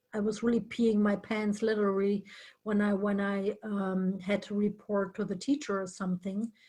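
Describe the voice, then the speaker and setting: A somewhat breathy woman with a German accent, medium pitch and a moderate pace. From northern Germany. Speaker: interview guest. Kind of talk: casual chat.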